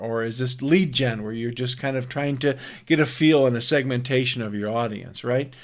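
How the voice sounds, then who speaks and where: In an American accent, the speech moves at a fairly quick pace with fairly even intonation. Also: man. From US Midwest, Minnesota (Twin Cities). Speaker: online marketing coach. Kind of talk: pre-recorded webinar. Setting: recorded face-to-face video. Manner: laid back; hesitant, many fillers and repetitions.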